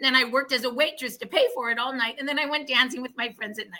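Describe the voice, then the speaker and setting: Using a raised, projected voice, a woman with an American accent sounds animated, with a bright, sharp tone, a high pitch and ordinary pitch variation. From Oregon, US. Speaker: wellness product promoter. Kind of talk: casual interview chat.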